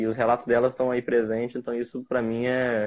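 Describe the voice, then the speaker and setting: A man's medium-pitched voice at a moderate pace. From interior of Rio de Janeiro state, Brazil. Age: 20s. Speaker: photographer. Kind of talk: casual interview on a live stream. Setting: remote live stream.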